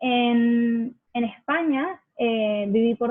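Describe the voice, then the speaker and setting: Speaking with a Venezuelan accent, a woman uses a fairly high pitch and ordinary pitch variation. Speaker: accent campaign ambassador. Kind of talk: interview. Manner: hesitant, many fillers.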